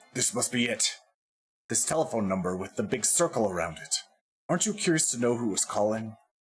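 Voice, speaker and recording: This is a put-on character voice, gruff and fairly quick. Its pitch swings very widely. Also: man, medium pitch for a man. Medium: game stream. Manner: condescending, gruff.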